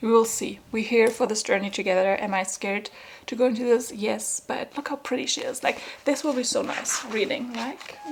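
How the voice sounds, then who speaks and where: Over noticeable background noise, a woman with a non-native accent talks at a moderate pace with a fairly high pitch and ordinary pitch variation. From Germany. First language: German. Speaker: book vlogger. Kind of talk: casual vlog talk to camera. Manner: animated.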